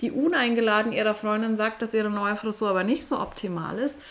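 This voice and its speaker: A woman talks fairly quickly in a fairly high register while noticeable noise sits in the background. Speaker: podcast host and coach. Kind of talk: solo podcast monologue. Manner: occasional stumbling.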